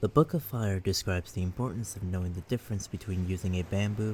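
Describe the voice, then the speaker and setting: A soft-spoken, somewhat breathy man at a moderate pace, fairly low-pitched with ordinary pitch variation, on a very clean recording with a silent background. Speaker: ASMR creator. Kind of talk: sleep story reading.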